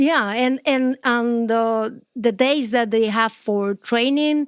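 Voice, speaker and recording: A woman with a Spanish accent speaks very slowly at a high pitch with ordinary pitch variation, in a dry, close, very clean recording with a silent background. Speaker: sports journalist. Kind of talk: podcast interview. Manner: halting.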